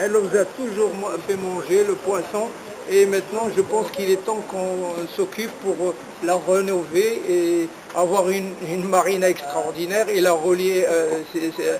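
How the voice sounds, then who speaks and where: A man's high-pitched voice at a moderate pace, fairly even in intonation, over noticeable background noise. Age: 60s. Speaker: long-distance cyclist. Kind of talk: interview. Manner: halting, many hesitations.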